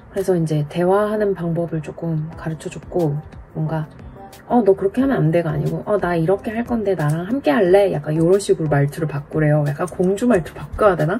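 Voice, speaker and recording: A woman speaks at a fairly quick pace, her pitch fairly low with ordinary variation. Music plays in the background. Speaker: vlogger sharing her divorce. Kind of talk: casual vlog monologue. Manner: direct.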